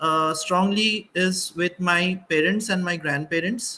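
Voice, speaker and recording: This man speaks with a Bengali accent at a fairly slow pace. His voice is high for a man, bright and sharp in tone, with fairly even intonation. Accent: Bengali Indian English. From India, Assam (Bengali). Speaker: panelist, doctor. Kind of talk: panel discussion. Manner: halting, many fillers.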